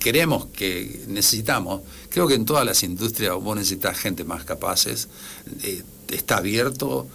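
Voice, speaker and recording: A man's fairly low voice with a bright, sharp tone, vocal fry, very wide pitch swings and a moderate pace. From Argentina. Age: 60s. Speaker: engineer. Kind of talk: radio interview. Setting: radio studio. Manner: halting.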